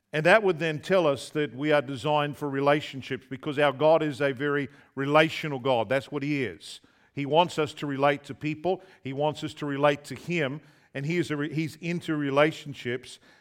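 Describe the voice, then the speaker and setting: Over a very clean recording with a silent background, a man in an Australian accent speaks at a fairly quick pace with fairly high pitch and fairly even intonation. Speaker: visiting preacher. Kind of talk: sermon. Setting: church.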